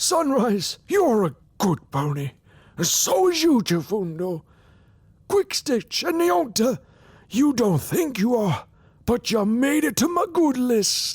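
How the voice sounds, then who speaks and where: Putting on a character voice, a man speaks at an extremely high pitch with very wide pitch swings, a fairly slow pace and long, frequent pauses. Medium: read story. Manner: warm, hearty.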